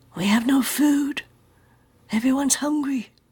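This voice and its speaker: In a put-on character voice that sounds female, someone whispers and mumbles at a moderate pace. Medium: read story. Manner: mumbling, whispering.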